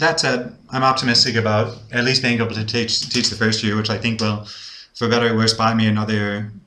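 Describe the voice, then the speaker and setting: The speaker holds a monotone, flat intonation at a fairly quick pace. Audible room echo surrounds the voice. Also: man, medium pitch for a man. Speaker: English-speaking teacher learning Spanish, video blogger. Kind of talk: casual video diary. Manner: hesitant, many fillers and repetitions.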